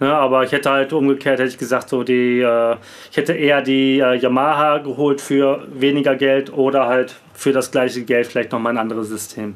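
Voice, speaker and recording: Over noticeable background noise, a man talks fairly quickly at medium pitch in a monotone, flat delivery. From Bielefeld, Germany. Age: 30s. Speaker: rapper and music producer. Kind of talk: casual interview chat. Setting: home studio, video call.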